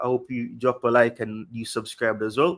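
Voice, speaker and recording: With a strong Jamaican accent, a man speaks at medium pitch and a moderate pace, his intonation fairly even. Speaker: football livestream host. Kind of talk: casual livestream chat. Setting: livestream.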